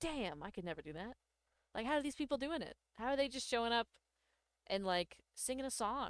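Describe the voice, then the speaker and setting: At a fairly quick pace, a woman with a fairly high pitch makes very wide pitch swings and leaves long, frequent pauses, in a dry, close recording with no echo. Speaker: VTuber streamer. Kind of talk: casual chat. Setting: live stream.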